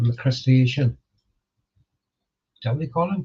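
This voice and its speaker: The man's voice is somewhat breathy. It sits at a fairly high pitch. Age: 60s. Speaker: multiboxing gamer streamer. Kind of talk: casual chat. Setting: live stream. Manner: halting.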